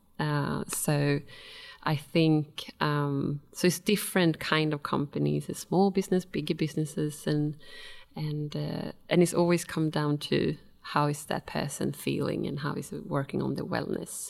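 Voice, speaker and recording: A woman talks at a fairly slow pace in a Swedish accent. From Sweden. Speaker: wellness consultant and personal trainer. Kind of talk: casual interview. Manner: hesitant, with many fillers.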